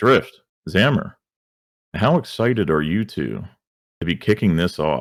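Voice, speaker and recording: A man's very deep, low voice with vocal fry and lively intonation, at a fairly slow pace with long, frequent pauses, on a very clean recording with a silent background. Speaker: esports league host. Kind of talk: esports broadcast intro. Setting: livestream. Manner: animated.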